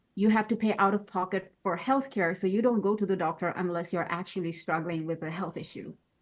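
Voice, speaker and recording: Speaking in a Bengali accent, a woman keeps a medium pitch, a moderate pace and fairly even intonation. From Bangladesh. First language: Bangla. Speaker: postdoctoral researcher. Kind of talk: interview. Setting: podcast.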